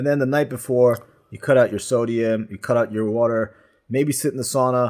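At a fairly quick pace, a man speaks at medium pitch with a slightly mellow tone and fairly even intonation.

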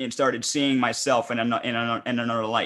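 A man with a normal speaking voice talks at medium pitch with fairly even intonation on a very clean recording with a silent background. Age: 30s. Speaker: podcast host. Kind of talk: casual chat.

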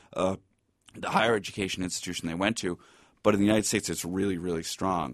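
Against a quiet background, a man with a Boston accent and a very deep, low pitch talks at a very fast pace. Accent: Boston American. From Boston, US (East Milton). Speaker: law lecturer and author. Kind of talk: interview.

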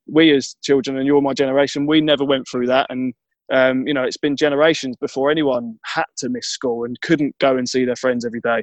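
A man's medium-pitched voice with a southeast English accent, monotone, flat intonation, a fairly quick pace and a dry, close sound with no echo. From Kent, southeast England. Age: 30s. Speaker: mental health advocate and charity fundraiser. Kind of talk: interview. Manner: halting.

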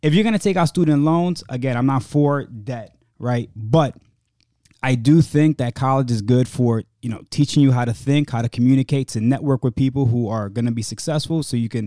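A man with an American accent speaks at a medium pitch in a dark, mellow tone. His pace is moderate, his pitch variation ordinary, and the sound is dry and close with no echo. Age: 30s. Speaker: podcast co-host. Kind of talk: casual chat. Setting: studio.

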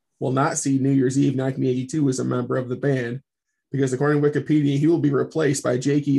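A man speaks at a medium pitch in a dark, mellow, somewhat breathy tone with monotone, flat intonation. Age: 40s. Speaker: podcast co-host. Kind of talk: casual chat.

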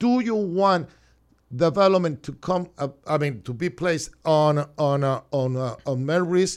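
A man with a Cuban accent, fairly slow in pace, his fairly high pitch moving with lively intonation. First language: Spanish. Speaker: city commissioner. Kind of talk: radio interview. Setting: studio.

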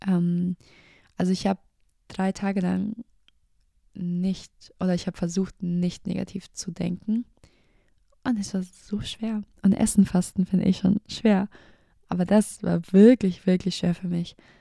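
A woman with a dark, mellow, somewhat breathy tone speaks fairly slowly at a medium pitch, her intonation monotone and flat, with long, frequent pauses and a dry, close sound with no echo. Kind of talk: casual personal talk about faith.

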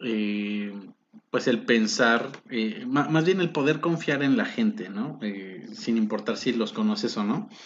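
His pitch swinging very widely, a man speaks at a very slow pace. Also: medium pitch for a man. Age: 20s. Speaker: podcast host. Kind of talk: casual chat. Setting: home studio.

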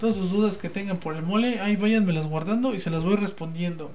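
A man with a Mexican accent talks very fast in a high voice with ordinary pitch variation, with audible room echo and noticeable background noise. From Mexico, Puebla. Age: 20s. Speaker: podcast host. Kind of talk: casual chat. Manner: animated, halting with many fillers.

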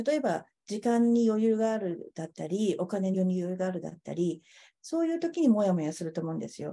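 Over a quiet background, a woman talks at a fairly quick pace in a medium pitch, her tone dark and mellow and her intonation lively. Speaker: caterer and food business owner. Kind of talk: interview.

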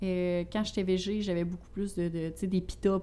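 In a Quebec accent, a woman speaks at a very slow pace. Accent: regional Quebec French. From Quebec, Bas-Saint-Laurent (Rivière-du-Loup). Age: 20s. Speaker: healthy recipe content creator. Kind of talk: casual interview chat.

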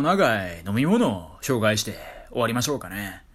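A man's voice swings very widely in pitch amid audible room echo. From Kyoto, Japan. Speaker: solo podcaster. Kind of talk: casual monologue.

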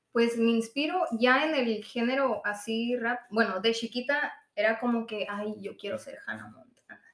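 A woman with a plain, everyday voice talks at a fairly slow pace and a fairly high pitch, with ordinary pitch variation and big swings in loudness. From Sonora, Mexico (Hermosillo). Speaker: rapper. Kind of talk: casual interview.

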